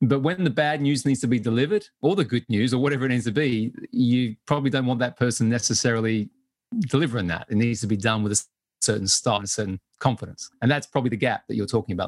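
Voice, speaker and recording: A man with an English accent talks at a very fast pace, his pitch medium and its variation ordinary. The sound is dry and close with no echo, on a very clean recording with a silent background. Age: 40s. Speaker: business advisor and investor. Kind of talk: interview.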